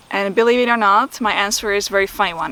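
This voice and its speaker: Bright and sharp in tone, a woman with a Czech accent speaks at a fairly high pitch and a fairly quick pace. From Czech Republic. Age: 40s. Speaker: photography and video YouTuber. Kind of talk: Q&A vlog. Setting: outdoors.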